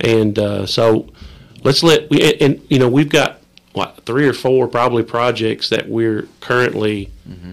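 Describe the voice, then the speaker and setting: With an Appalachian accent, a man speaks fairly slowly at a medium pitch with ordinary pitch variation. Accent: Appalachian Kentucky. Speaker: state representative. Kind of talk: casual chat.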